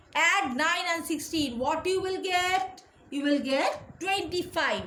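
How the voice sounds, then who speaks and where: A woman's extremely high-pitched voice, bright and sharp in tone, moves at a very slow pace through audible room echo. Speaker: school teacher. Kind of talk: lecture. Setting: recorded online class.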